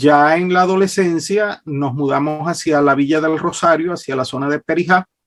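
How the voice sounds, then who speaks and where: Using a Venezuelan accent, a man talks at a fairly high pitch and a moderate pace, with fairly even intonation and hardly any pauses. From Venezuela, Maracaibo (Zulia). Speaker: public speaking coach and licensed broadcaster. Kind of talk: interview.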